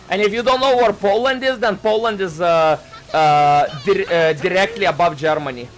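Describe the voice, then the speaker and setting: Music plays behind a man with a high-pitched voice and lively intonation. He keeps a moderate pace at a very even loudness. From Lithuania. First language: Lithuanian. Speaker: vtuber streamer. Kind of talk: casual live-stream chat. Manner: halting, many fillers and restarts.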